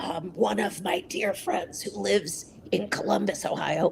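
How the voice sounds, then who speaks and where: A woman talks at a moderate pace, with noticeable background noise behind her. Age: 60s. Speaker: advocate for people with voice disorders. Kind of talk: interview.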